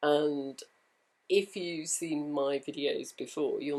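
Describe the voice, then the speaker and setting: A woman speaks with a British accent. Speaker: home sewist and vlogger. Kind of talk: casual talk to camera.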